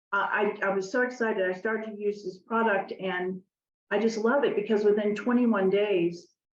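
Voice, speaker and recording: In a medium-pitched, monotone and flat voice, a woman talks at a moderate pace. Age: 70s. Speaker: network marketing business builder. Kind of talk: interview.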